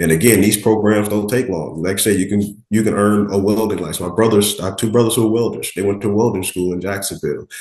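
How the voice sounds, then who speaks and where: Speaking at a very fast pace with hardly any pauses, a man with an American accent keeps a fairly low pitch and fairly even intonation. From Miami, Florida. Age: 30s. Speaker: firefighter-paramedic. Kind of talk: interview. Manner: casual, conversational.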